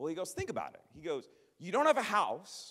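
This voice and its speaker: Swinging very widely in pitch, a man speaks in an animated tone. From Minnesota (Minneapolis). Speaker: traveling evangelist. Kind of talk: sermon. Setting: church. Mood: passionate, humorous at times. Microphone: handheld.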